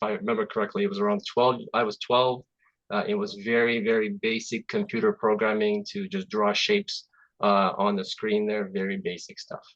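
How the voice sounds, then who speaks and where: A man speaks with a Russian accent. His pace is moderate. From Azerbaijan. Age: 40s. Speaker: software development manager. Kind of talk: presentation. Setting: video call. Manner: halting.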